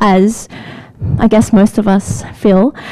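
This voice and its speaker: Over noticeable background noise, a woman with an Australian accent sounds animated. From Australia, Sydney. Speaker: product manager. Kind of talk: lightning talk. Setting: stage with audience.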